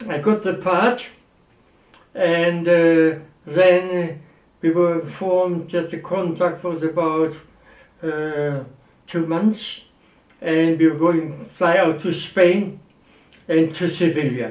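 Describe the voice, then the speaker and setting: With a German accent, a man speaks at a high pitch and a very slow pace, his intonation fairly even, with long, frequent pauses and audible room echo. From Germany, Wuppertal. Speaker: actor. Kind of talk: interview.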